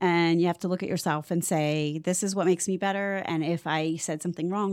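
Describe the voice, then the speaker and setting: Using an ordinary speaking voice with an American accent, a woman talks at a fairly quick pace and a fairly low pitch, with ordinary pitch variation. The recording is very clean, with a silent background and a dry, close sound with no echo. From Ohio, Cleveland. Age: 50s. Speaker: podcast host, realtor. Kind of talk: casual chat.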